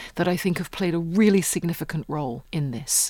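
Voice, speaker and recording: A woman speaks with a British accent. Her pitch is fairly low, with ordinary pitch variation. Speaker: history professor. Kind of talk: interview explaining history and politics. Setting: studio.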